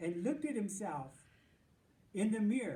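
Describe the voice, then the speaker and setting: This man's voice is high in pitch. It swings very widely up and down. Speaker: mayor. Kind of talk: children's picture book read-aloud.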